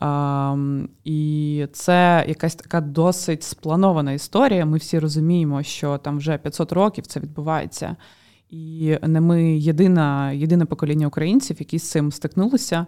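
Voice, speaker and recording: A woman's very deep, low pitch and dark, mellow tone at a fairly slow pace, in a very clean recording with a silent background. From Ukraine. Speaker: podcast co-host. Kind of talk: casual chat.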